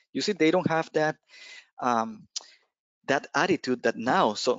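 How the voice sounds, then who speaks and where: A man with a Spanish accent at a moderate pace, ordinary pitch variation, a dry sound with no echo and a quiet background. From Costa Rica. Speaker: penetration tester, cloud security specialist; presenter. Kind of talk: technical presentation. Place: home room. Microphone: headset.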